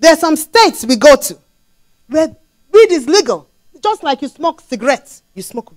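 In a quiet background, a woman speaks at a high pitch and a moderate pace. She uses very wide pitch swings, big swings in loudness, and long, frequent pauses. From Nigeria (Lagos). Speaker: preacher. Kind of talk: sermon. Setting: church. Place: church. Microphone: handheld.

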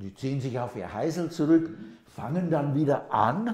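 In a quiet background with audible room echo, a man with a fairly high pitch and a dark, mellow tone speaks at a fairly slow pace. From England. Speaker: linguist, professor. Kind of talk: interview answer. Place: kitchen. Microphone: lapel.

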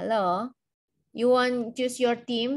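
Against a quiet background, a woman speaks in a high pitch with fairly even intonation. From Indonesia. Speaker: university lecturer. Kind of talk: lecture. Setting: video call. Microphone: video call.

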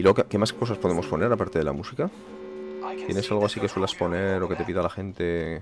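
Very fast delivery with ordinary pitch variation, a dry sound with no echo, and clear music in the background. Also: man, very deep, low pitch for a man. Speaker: video game streamer. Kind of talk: casual live stream commentary.

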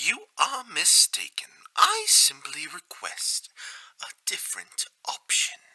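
Raspy put-on character voice at an extremely high pitch and a fairly slow pace. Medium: dub. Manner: formal, polite.

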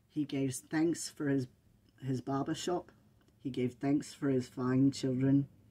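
Fairly even intonation carried by a natural reading voice

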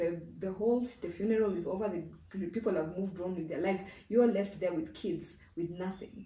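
A woman talks at a fairly quick pace. Room echo is audible. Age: 30s. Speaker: insurance risk specialist, business founder. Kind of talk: interview, explaining. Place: home room.

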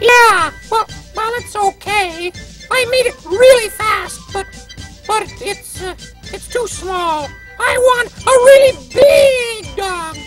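A cartoonish character voice at an extremely high pitch moves at a very slow pace, with faint music in the background. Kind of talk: children's TV puppet dialogue. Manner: cheerful, easygoing.

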